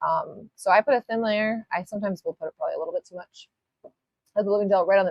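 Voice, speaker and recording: Talking at a very fast pace, a woman's loudness swings widely. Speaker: nail art tutorial livestreamer. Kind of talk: live tutorial. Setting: livestream. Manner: casual and chatty; halting with filler words.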